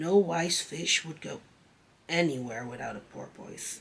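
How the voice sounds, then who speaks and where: A man does a raspy put-on character voice, fairly high in pitch, with ordinary pitch variation and a moderate pace. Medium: read story. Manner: pedantic, touchy.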